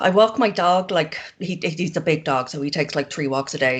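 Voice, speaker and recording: A woman with an Irish accent speaks at a moderate pace. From Ireland. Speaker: zine maker. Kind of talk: casual chat.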